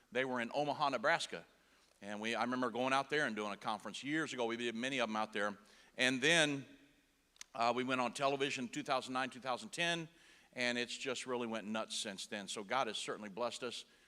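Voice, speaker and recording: A man with a Texas accent talks at a very fast pace in a bright, sharp tone. His medium pitch shows ordinary variation, on a very clean recording with a silent background. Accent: Texas twang. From Indiana. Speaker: preacher and broadcaster. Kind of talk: sermon. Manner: casual.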